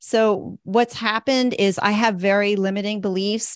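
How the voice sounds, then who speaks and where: In a very clean recording with a silent background, a woman speaks at a medium pitch in a normal speaking voice. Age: 50s. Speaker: educator turning to financial advising. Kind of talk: coaching session.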